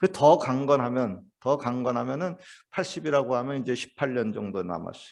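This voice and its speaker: Against a quiet background, a man talks at a medium pitch. His pace is moderate, with ordinary pitch variation. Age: 60s. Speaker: pastor. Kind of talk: sermon. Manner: hesitant, many fillers.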